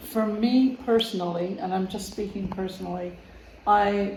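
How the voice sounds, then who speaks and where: A woman at medium pitch with fairly even intonation and a fairly slow pace, amid audible room echo and noticeable background noise. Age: 80s+. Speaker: family member interviewed. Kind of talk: casual interview. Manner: halting.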